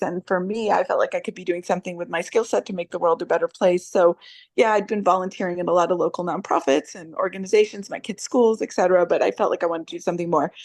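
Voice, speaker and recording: A woman with an American accent speaks very fast at a medium pitch and with fairly even intonation. The sound is dry and close with no echo, and the background is quiet. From upstate New York. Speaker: nonprofit director. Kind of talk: online discussion.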